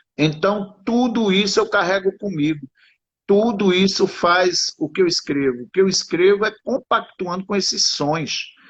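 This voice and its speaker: Speaking at a fairly slow pace, a man has a high voice. His pitch moves in an ordinary way. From Sertânia, Pernambuco, Brazilian Northeast. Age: 50s. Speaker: writer. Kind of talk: interview conversation.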